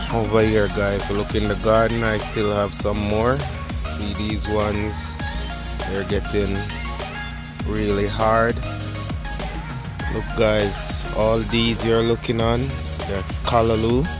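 Very slow delivery with long, frequent pauses, clear music in the background, and a dry sound with no echo. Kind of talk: casual vlog chat. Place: garden. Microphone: phone near.

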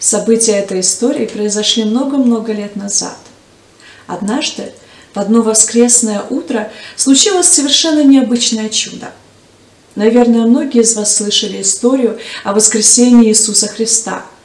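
Audible room echo surrounds a woman speaking at a moderate pace with ordinary pitch variation and long, frequent pauses. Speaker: storyteller for church children's program. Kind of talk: storytelling to children. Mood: warm, gentle narration. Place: studio.

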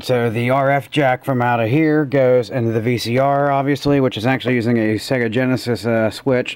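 A man talks at a fairly quick pace. Noticeable background noise runs under his voice. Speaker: gaming YouTuber. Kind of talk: casual tutorial commentary. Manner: quiet, talking softly.

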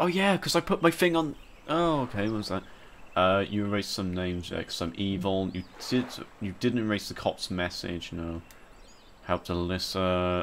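A man speaks at a fairly low pitch with lively intonation. His pace is moderate, with long, frequent pauses. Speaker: gaming YouTuber. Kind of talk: let's play commentary. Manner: rambling.

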